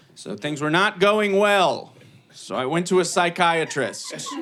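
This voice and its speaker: With an American accent, a man talks at a very slow pace in a high pitch, his intonation lively, with audible room echo and noticeable background noise. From Ohio, Cleveland. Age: 30s. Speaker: comedian. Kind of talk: stand-up. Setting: stage with audience.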